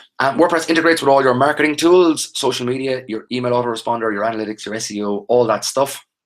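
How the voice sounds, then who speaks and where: Speaking very fast with an Irish accent, a man uses a medium pitch. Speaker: online training instructor. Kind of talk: live webinar tutorial. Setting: live video webinar.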